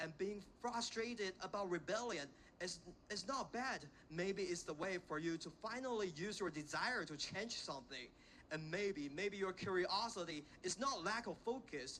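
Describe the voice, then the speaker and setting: With a Chinese accent, a man uses a raised, projected voice at a high pitch, with lively intonation and a bright, sharp tone. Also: moderate pace. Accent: Chinese accent, self-conscious. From China, Xiamen. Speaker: invited speaker, education graduate. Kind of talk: inspirational talk to students. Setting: stage with audience at a school. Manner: halting with fillers.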